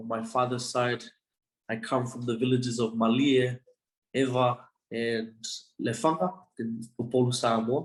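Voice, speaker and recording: A man talks in a monotone, flat intonation, leaving long, frequent pauses. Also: medium pitch for a man, moderate pace. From Australia, Brisbane. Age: 20s. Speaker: university student. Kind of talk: interview.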